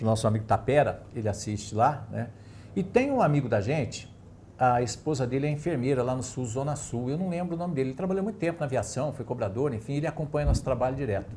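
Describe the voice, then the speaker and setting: A man speaks very fast at a medium pitch, his tone dark and mellow. His voice is somewhat breathy, with lively intonation. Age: 60s. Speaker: sports TV host. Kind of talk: casual sports talk show chat.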